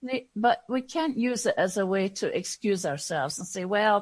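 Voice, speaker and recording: At a moderate pace, a woman with a Scottish accent speaks at a medium pitch. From Scotland. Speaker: diversity and inclusion consultant. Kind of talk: podcast interview. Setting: podcast.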